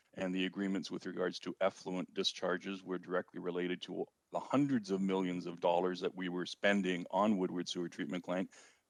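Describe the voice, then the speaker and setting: A man with an Ontario accent speaks at a fairly quick pace in a very deep, low voice with monotone, flat intonation. The sound is dry and close with no echo, and there are hardly any pauses. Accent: Canadian (Ontario). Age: 60s. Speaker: city councillor. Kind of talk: council meeting debate.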